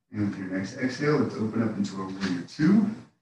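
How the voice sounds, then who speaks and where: A man at a fairly quick pace, ordinary pitch variation, with audible room echo. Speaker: yoga instructor. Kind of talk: guided yoga class. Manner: calm; relaxed.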